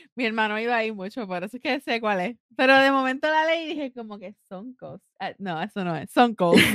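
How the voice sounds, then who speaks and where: A woman's fairly high, animated voice at a fairly quick pace, with lively intonation, big swings in loudness, and a dry, close sound with no echo. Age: 30s. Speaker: podcast co-host. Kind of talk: casual chat.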